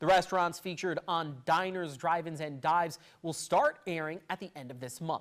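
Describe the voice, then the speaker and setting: A man with an American accent speaks high in pitch at a moderate pace. The recording is very clean with a silent background. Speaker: television news reporter and fill-in anchor. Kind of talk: local TV newscast read. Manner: clear, professional, brisk.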